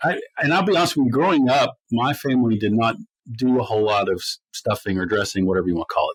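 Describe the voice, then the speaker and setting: A man with an American accent speaks at a fairly quick pace and a medium pitch. His is an unremarkable speaking voice. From US, north of the Mason-Dixon line. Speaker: podcast co-host. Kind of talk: casual podcast chat. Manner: conversational with many fillers.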